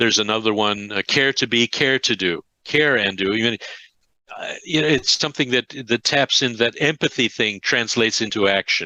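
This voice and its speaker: Against a quiet background, a man with an American accent talks at a moderate pace in a bright, sharp tone, his medium pitch showing ordinary variation in a dry, close sound with no echo. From Upstate New York. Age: 70s. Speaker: career and life coach. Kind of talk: interview.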